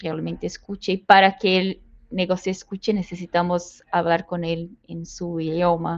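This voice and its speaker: A woman speaks in a Brazilian accent at a medium pitch. Her pace is fairly slow. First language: Portuguese (speaking Spanish). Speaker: people analytics professional. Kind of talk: interview. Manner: halting, non-native phrasing.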